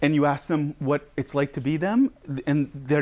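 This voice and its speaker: A man talks while the background remains quiet. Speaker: psychotherapist and educator. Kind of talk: lecture. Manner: fast.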